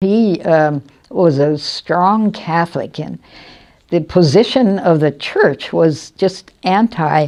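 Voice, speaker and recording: A woman's dark, mellow, fairly low voice in an American accent, with lively intonation at a very slow pace. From US Midwest, Chicago. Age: 80s+. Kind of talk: interview testimony. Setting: retirement home. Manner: halting, with hesitations.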